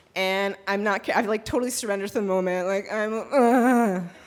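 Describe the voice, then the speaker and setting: A woman with a fairly high pitch over noticeable background noise. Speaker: storyteller. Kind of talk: live storytelling performance. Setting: live stage with audience. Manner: casual, conversational.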